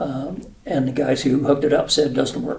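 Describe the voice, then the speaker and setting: At a moderate pace, a man with a fairly high pitch speaks with fairly even intonation, and audible room echo surrounds him. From New Mexico. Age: 70s. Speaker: retired air force officer. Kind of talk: casual interview. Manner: halting, many fillers.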